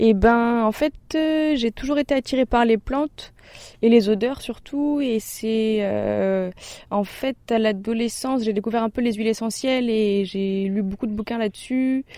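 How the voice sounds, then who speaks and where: A woman's fairly high voice, dark and mellow, at a fairly slow pace with ordinary pitch variation, dry and close with no echo, on a very clean recording with a silent background. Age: 20s. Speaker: herb farmer. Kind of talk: interview. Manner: hesitant, casual with fillers.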